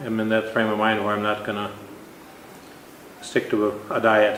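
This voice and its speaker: A man with an American accent speaks at a moderate pace in a fairly low, monotone voice with flat intonation. Noticeable background noise and audible room echo are present. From Minnesota. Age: 60s. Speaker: weight loss contest winner. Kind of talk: interview.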